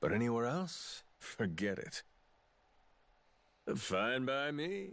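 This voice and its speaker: A put-on character voice drawls at a very slow pace. The background is quiet. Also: man, medium pitch for a man. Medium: video game. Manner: cocky, casual, drawling slang.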